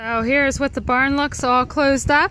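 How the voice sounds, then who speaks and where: A woman speaks with a bright, sharp tone and fairly even intonation. The sound is dry with no echo, with light background noise. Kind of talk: casual tour explanation. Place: farm machine.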